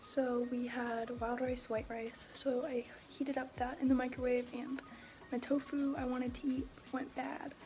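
A woman with a high pitch speaks in a relaxed, monotone voice with flat intonation at a moderate pace over light background noise. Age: young. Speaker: vlogger. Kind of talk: casual vlog talk to camera. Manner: relaxed, chatty. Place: home room. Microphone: phone near.

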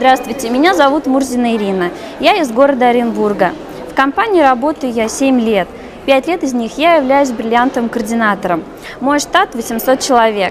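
A woman's high-pitched voice, lively intonation, and moderate pace over noticeable background noise. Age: 30s. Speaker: direct sales coordinator. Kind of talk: recorded testimonial. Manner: formal. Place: hall. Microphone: lapel.

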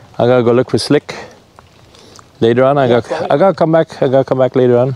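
Over noticeable background noise, a man at medium pitch speaks very fast with ordinary pitch variation, broken by long, frequent pauses. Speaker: travel vlogger. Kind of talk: casual chat. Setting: outdoors.

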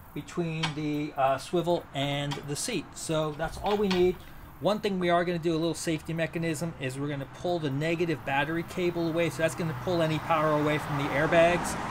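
Over noticeable background noise, a man speaks at a fairly quick pace with hardly any pauses and fairly even intonation. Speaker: van build vlogger. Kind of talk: tutorial. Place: street. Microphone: camera far.

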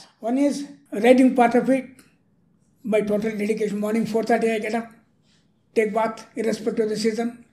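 A man speaks at a fairly quick pace and high pitch in a flat monotone, leaving long, frequent pauses. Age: 80s+. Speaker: retired railway engineer and author. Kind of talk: interview answer. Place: studio. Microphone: studio mic.

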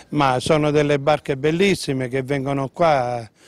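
In a plain, everyday voice, a man speaks at a moderate pace with a fairly high pitch, and the sound is dry with no echo. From Lipari, Sicily; Sicily. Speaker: port worker; interviewee. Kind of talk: casual chat. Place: waterside. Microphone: handheld.

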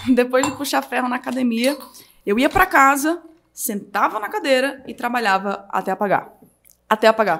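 Her pace is moderate. The woman's voice is high, with lively intonation. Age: 20s. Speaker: digital marketing entrepreneur. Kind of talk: casual chat. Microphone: speaks very close to the microphone.

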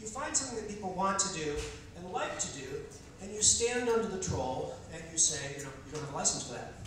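Strong room echo and light background noise accompany a man whose high pitch makes very wide swings. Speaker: political candidate doing stand-up. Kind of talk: stand-up comedy with political satire, delivered as a campaign speech. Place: stage.

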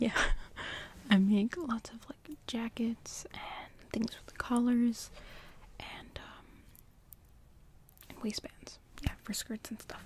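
Whispering at a very slow pace, the speaker leaves long, frequent pauses. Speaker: sewing and cosplay vlogger. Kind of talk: soft-spoken ASMR sewing vlog talking to camera. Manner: soft-spoken. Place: home room.

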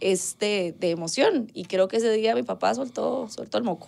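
This woman speaks with a Costa Rican accent. Her pace is moderate. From Costa Rica, Guadalupe. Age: 30s. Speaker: singer; interview guest. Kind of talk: casual chat. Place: studio.

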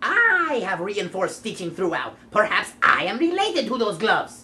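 A female-sounding, cartoonish character voice sits at a fairly high pitch. It moves at a moderate pace. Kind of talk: comic overacting. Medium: puppet show. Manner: cheeky, wisecracking.

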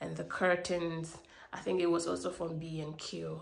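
A woman speaks at a moderate pace with a bright, sharp tone and some vocal fry. Her pitch is fairly low, and there is audible room echo.

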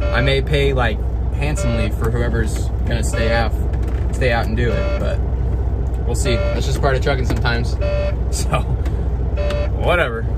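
Through loud background noise, a man speaks at a moderate pace, leaving long, frequent pauses. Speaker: truck driver vlogger. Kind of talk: casual vlog chat. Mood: slightly worried about timing. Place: car. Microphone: phone near.

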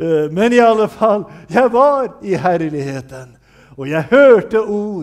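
Over a quiet background, a man speaks at a very slow pace with very wide pitch swings. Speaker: preacher. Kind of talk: sermon. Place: church.

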